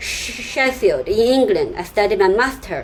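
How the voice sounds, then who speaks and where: A woman with a Chinese accent speaks at a fairly slow pace, her pitch swinging very widely. Background noise is noticeable. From China. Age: 30s. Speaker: software developer and YouTuber. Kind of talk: personal story vlog with screen sharing. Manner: halting, many fillers and repetitions.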